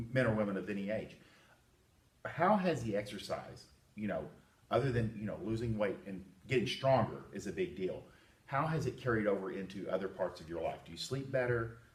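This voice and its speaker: At a fairly quick pace, a man with medium pitch sounds somewhat breathy, his intonation lively. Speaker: personal trainer. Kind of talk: interview questions to client.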